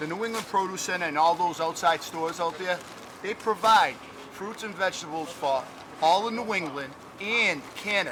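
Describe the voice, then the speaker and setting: A man with a high voice and ordinary pitch variation keeps a moderate pace while noticeable background noise plays. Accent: American. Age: 60s. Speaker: market vendor. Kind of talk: casual interview.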